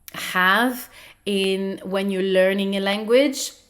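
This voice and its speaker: A woman speaks at a very slow pace with a non-native accent. Her pitch sits in the medium range. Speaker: podcast host. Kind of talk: educational podcast talk. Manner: hesitant with fillers.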